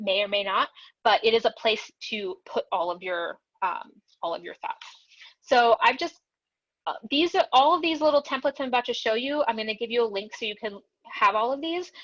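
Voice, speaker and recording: Pausing long and often, a woman talks at a fairly quick pace in a high voice with very wide pitch swings. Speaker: ADHD and productivity coach. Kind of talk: webinar presentation. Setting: video call webinar. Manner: fast; many filler words.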